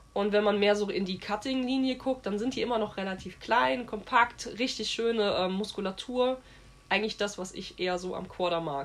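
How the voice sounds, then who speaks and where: Here a woman talks at a moderate pace and a medium pitch, with ordinary pitch variation. Noticeable background noise is audible. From Westerwald, western Germany. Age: 30s. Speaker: horse trainer. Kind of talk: interview.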